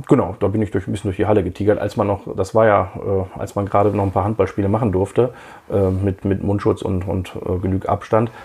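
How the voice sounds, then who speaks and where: Somewhat breathy and dark and mellow in tone, a man with a fairly low pitch speaks at a very fast pace in monotone, flat intonation. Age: 40s. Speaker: podcast host and radiologist. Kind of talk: casual interview as guest on own podcast.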